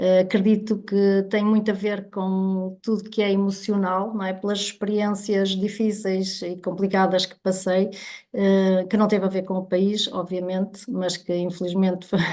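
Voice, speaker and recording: Over a quiet background, a woman with a dark, mellow tone and medium pitch speaks at a fairly slow pace in a monotone, flat intonation, with hardly any pauses. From northern Portugal, Viana do Castelo. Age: 50s. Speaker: guest sharing health story. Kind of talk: testimony.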